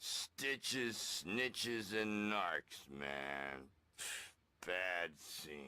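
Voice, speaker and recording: Putting on a character voice, a man talks at a very slow pace in a very deep, low pitch with very wide pitch swings. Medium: video game. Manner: gruff, says 'man'.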